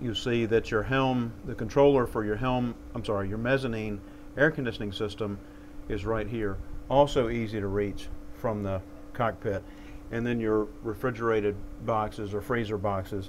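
A man speaks at a moderate pace with fairly even intonation. Light background noise can be heard. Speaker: yacht salesman. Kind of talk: product walkthrough tour. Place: boat. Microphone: lapel.

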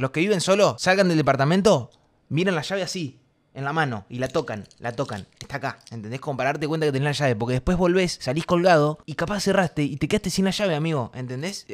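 Very fast and animated in tone, a man in a Rioplatense accent speaks with lively intonation and a fairly high pitch. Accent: Argentine Rioplatense Spanish. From Argentina. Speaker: streamer. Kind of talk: casual chat. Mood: joking, playful. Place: home room. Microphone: studio mic.

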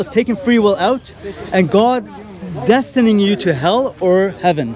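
A man with a high voice and lively intonation, dry sound with no echo, and light background noise. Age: 30s. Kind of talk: street debate. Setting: outdoors in public with a group. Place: street. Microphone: handheld.

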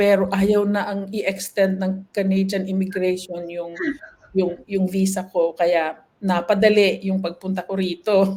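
Her tone dark and mellow, a woman speaks fairly slowly at a medium pitch in a monotone, flat intonation. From Philippines, Ilocos Norte. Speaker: nurse. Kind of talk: interview, life story.

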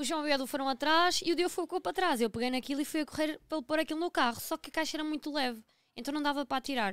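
A woman talks at a very fast pace in a high pitch with ordinary pitch variation. The sound is dry with no echo, and the background is quiet. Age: 30s. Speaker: podcast co-host. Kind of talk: casual chat. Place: studio. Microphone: studio mic.

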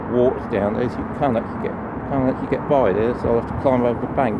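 Over loud background noise, a man speaks with a dry sound with no echo. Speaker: vlogger. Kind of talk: casual vlog chat. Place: waterside. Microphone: phone near.

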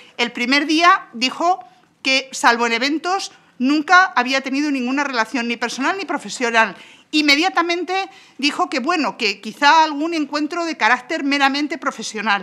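Raising and projecting her voice, a woman with a high pitch and a Spanish accent speaks at a moderate pace, her tone bright and sharp and her intonation lively. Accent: Peninsular Spanish. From Spain. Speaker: parliamentary spokesperson. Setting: parliament chamber. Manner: formal, with occasional hesitations ("eh") while building the argument. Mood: combative, critical. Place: hall. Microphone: podium.

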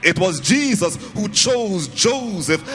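A man speaks at a very slow pace with faint music in the background. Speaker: preacher. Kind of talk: sermon. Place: hall. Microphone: handheld.

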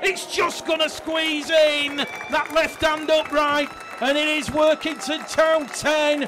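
A man's raised, projected voice at an extremely high pitch, very slow in pace, over crowd noise in the background. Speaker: sports commentator. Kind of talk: live rugby league match commentary. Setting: broadcast commentary on a match.

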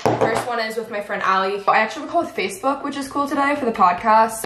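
Someone with an American accent speaks at a very fast pace with ordinary pitch variation. Room echo is audible, along with light background noise. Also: woman. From North Texas. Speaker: lifestyle vlogger. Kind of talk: casual vlog talk to camera. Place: home room. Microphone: camera far.

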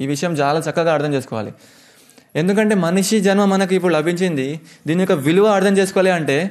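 A man speaks with a high pitch and ordinary pitch variation. His loudness stays very even. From Hyderabad, India; India. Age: 20s. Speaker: Hare Krishna preacher; monk giving a lecture. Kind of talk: lecture. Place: hall. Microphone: studio mic.

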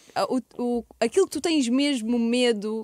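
A woman speaks at a fairly high pitch with ordinary pitch variation. The sound is dry with no echo, and the background is quiet. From Portugal. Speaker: podcast host. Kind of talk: casual chat. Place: studio. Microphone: studio mic.

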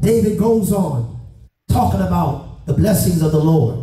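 The pace of the speech is very slow. Music plays in the background, and there is audible room echo. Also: man. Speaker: pastor. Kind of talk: sermon. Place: church.

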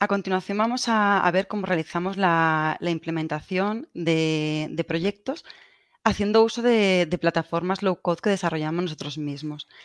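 Against a quiet background, a woman with a Castilian accent speaks at a moderate pace and fairly low pitch, with ordinary pitch variation. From Spain, Valencia; Spain. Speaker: telecommunications engineer; presenter. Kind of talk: conference presentation. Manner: halting, repeats words. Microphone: video call.

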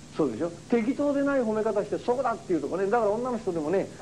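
A man's high-pitched, very fast speech with lively intonation over light background noise. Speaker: religious lecturer. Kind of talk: lecture. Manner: animated.

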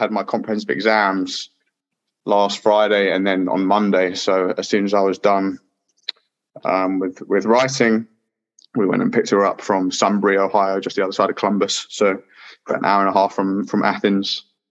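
Speaking in a London accent, a man with a fairly low pitch keeps a monotone, flat intonation at a moderate pace. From southeast London, England. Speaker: PhD student. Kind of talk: interview. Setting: video call.

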